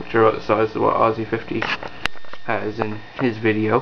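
The speech moves at a moderate pace. Noticeable background noise runs through the clip. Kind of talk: casual show-and-tell narration. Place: home room. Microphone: phone near.

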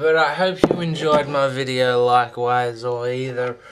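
A man talks at a fairly slow pace. Noticeable background noise runs behind him. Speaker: amateur musician vlogger. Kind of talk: casual vlog chat. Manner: slurred, rambling drunk talk. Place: home room. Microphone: webcam.

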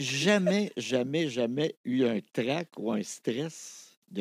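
Against a quiet background, a man talks with lively intonation in a dry sound with no echo. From Quebec. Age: 60s. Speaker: television archivist and radio host; radio host. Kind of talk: casual interview chat. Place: studio. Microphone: studio mic.

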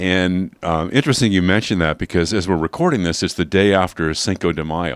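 Against a quiet background, the dry sound with no echo carries a speaker with an American accent and ordinary pitch variation. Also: man. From Los Angeles, US. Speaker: baseball radio broadcaster; radio broadcaster. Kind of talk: interview. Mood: warm, storytelling. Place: studio. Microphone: handheld.

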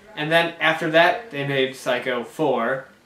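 A man speaks at a fairly slow pace with ordinary pitch variation. Audible room echo surrounds his voice. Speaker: amateur film reviewer. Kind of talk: casual review chat. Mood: relaxed, lightly amused. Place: home room. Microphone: camera far.

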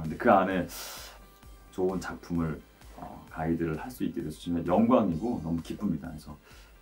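This is a man speaking. Faint music plays in the background. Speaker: voice actor. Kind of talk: interview answer. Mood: warm, pleased, smiling. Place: studio.

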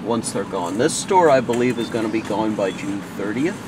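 Noticeable background noise behind a male voice, the sound dry and free of echo. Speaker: vlogger. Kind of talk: casual vlog chat. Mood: nostalgic, a bit sad. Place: car.

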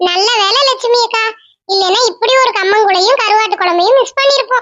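Cartoonish character voice from a woman, extremely high in pitch. The pace is moderate and the loudness very even. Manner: chatty, curious.

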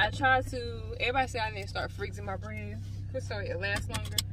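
A woman speaks in a dry setting with no echo, over loud background noise. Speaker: vlogger. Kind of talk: casual vlog chat. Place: car. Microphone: phone near.

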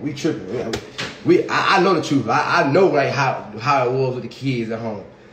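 A man is speaking here. Light background noise and audible room echo can be heard. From Alabama, US South. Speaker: social media personality; livestreamer. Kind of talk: casual storytelling livestream. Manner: animated. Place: home room. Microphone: phone near.

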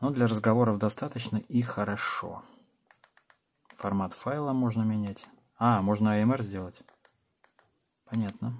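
Fairly low male voice at a moderate pace, with fairly even intonation and long, frequent pauses. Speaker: tech reviewer. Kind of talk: product review. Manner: casual.

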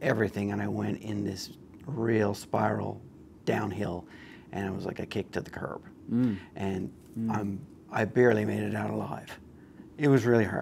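A man with a fairly low pitch speaks at a moderate pace with ordinary pitch variation, leaving long, frequent pauses over light background noise. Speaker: guest. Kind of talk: interview answer. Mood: candid, reflective. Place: studio. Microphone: lapel.

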